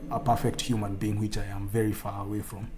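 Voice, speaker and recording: A man talks at a moderate pace. Room echo can be heard. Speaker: streamer. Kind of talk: casual chat.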